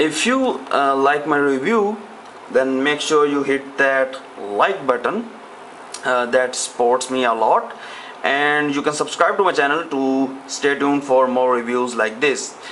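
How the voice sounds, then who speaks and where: Noticeable background noise sits under a man speaking at a fairly slow pace in a fairly high voice. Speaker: tech reviewer. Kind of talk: product review. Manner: hesitant with frequent fillers.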